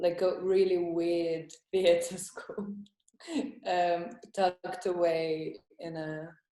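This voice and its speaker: The delivery is monotone, with flat intonation. The pace is very slow. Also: woman. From Estonia, then London from age twelve. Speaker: comedian. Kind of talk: casual interview. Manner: hesitant, many fillers.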